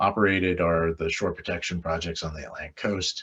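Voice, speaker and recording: Against a quiet background, a man speaks in a very deep, low pitch with fairly even intonation. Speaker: Army Corps of Engineers planner presenting programs. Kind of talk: webinar presentation. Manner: fast.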